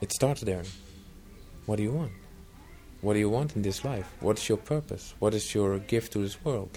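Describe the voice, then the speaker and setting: A man with a dark, mellow, somewhat breathy voice speaks at a moderate pace and fairly low pitch, with ordinary pitch variation. He leaves long, frequent pauses. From Netherlands. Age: 40s. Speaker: retreat center trainer and coach. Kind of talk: interview.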